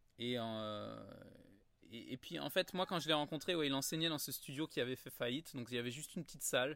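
A man speaks at a fairly quick pace. His medium-pitched voice shows ordinary pitch variation. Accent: Parisian. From Paris, France. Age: 30s. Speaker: yoga teacher, former musical theatre performer. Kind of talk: casual interview. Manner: hesitant with many fillers.

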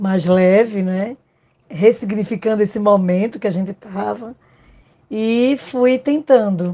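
A woman speaks at a very slow pace with a medium pitch. Her tone is dark and mellow, and her pitch varies in an ordinary way. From Pernambuco, Brazil. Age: 50s. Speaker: psychologist. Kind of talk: interview.

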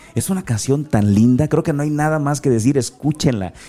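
At a fairly quick pace, a man with a slight Guerrero accent speaks in a dark, mellow tone with lively intonation. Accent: faint Acapulco. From Acapulco, Guerrero, Mexico. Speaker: motivational speaker. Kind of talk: interview conversation.

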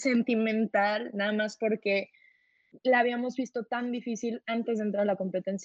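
This woman's voice sits fairly high in pitch, and her intonation is fairly even. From Mexico City. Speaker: university debater. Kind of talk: casual interview.

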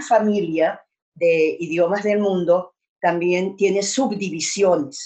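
In a dark, mellow tone, a woman speaks at a fairly slow pace with ordinary pitch variation. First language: Hungarian (speaking Spanish). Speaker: language teacher. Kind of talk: lecture.

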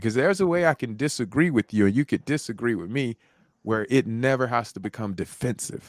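Dry and close with no echo, a man's medium-pitched, ordinary speaking voice moves at a fairly quick pace with lively intonation. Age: 40s. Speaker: motivational speaker and life coach, retired combat veteran. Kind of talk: casual interview conversation. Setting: video call.

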